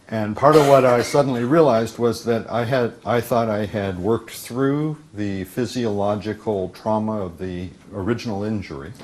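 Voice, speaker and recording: Speech comes at a very slow pace with ordinary pitch variation, over noticeable background noise. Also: man, medium pitch for a man. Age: 60s. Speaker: workshop teacher and author. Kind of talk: conference talk. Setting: conference stage with interpreter. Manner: halting with many fillers.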